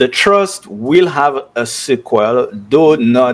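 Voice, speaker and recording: Amid noticeable background noise, a man with a fairly high voice speaks with lively intonation. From Dominica. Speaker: author and software developer. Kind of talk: interview. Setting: studio. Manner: hesitant, many fillers.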